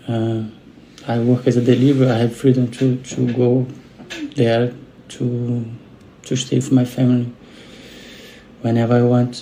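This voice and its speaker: The speaker has a Brazilian Portuguese accent and a monotone, flat intonation. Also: man. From Brazil, Rio de Janeiro. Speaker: delivery worker, witness who intervened in an attack. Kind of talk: interview testimony. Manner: halting, with repeated words.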